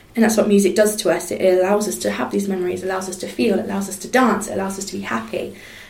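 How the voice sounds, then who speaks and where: Talking at a very fast pace with hardly any pauses, a woman at medium pitch shows ordinary pitch variation and big swings in loudness over noticeable background noise. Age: 20s. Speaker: singer and charity volunteer. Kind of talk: casual interview chat.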